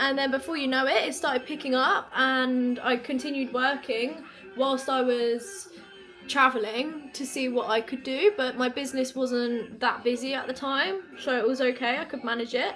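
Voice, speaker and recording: High-pitched female speech in an English accent at a moderate pace, ordinary pitch variation, music in the background. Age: 20s. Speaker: lifestyle vlogger and online coach. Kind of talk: casual chat while doing makeup. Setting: sitting on the floor at home. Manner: animated.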